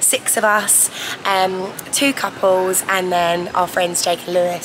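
A woman speaks fairly slowly, and noticeable background noise can be heard. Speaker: travel vlogger. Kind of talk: casual vlog chat. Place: station. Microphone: phone near.

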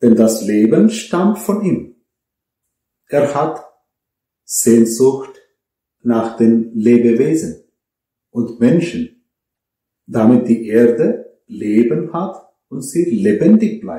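Speaking very slowly with long, frequent pauses, a man has a dark, mellow, somewhat breathy tone and lively intonation, with audible room echo over a quiet background. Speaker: priest. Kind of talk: sermon, earnest and measured homily to a congregation. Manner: earnest; rhetorical, direct address with pauses. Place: home room.

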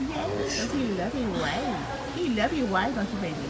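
Clear music runs in the background. Over it, a woman talks at a moderate pace. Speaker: food vlogger. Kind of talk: casual vlog chat. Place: cafe. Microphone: phone near.

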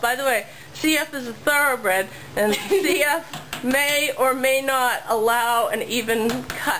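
A woman speaks with a high pitch and ordinary pitch variation. There is noticeable background noise. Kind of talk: casual commentary. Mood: light, joking. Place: garage. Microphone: phone near.

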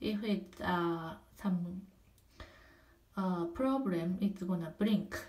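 Very slowly and with long, frequent pauses, a woman with a non-native accent speaks in a somewhat breathy, medium-pitched voice with ordinary pitch variation. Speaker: apartment resident giving a home tour. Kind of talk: casual home tour narration. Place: bathroom. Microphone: phone near.

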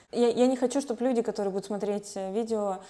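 A woman keeps a moderate pace and fairly even intonation against a quiet background. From Russian Far East, Khabarovsk; Russian Far East. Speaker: human rights lawyer. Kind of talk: interview. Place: home room. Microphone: lapel.

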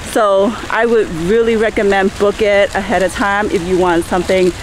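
Noticeable background noise sits behind a woman speaking at a fairly slow pace. The sound itself is dry, with no echo. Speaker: travel vlogger. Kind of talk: casual vlog chat. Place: waterside. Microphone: phone near.

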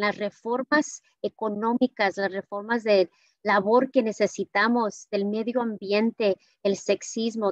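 A woman speaks at a fairly slow pace over a quiet background, the sound dry with no echo. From California, Watsonville (Mexican-born); California. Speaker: public health official; conference speaker. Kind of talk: speech. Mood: warm, grateful. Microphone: video call.

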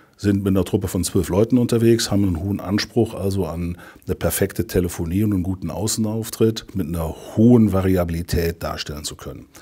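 A man's dark, mellow tone at a fairly low pitch, with ordinary pitch variation, a moderate pace and a quiet background. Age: 50s. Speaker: insurance district director. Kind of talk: customer testimonial interview. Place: office.

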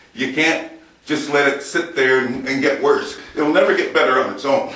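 The speaker keeps a moderate pace and fairly even intonation, with audible room echo. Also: man. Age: 60s. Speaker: fitness vlogger. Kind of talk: exercise demonstration. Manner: casual, folksy. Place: empty room. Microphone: camera far.

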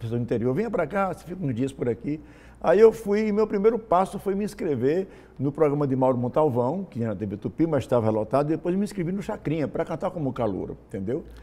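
Very fast, very wide pitch swings from a man with a fairly high pitch and a dark, mellow tone. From Rio Grande do Norte, Brazil (Natal / Nova Cruz); Rio Grande do Norte, Brazil. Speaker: singer and songwriter; interview guest. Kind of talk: interview. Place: studio. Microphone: lapel.

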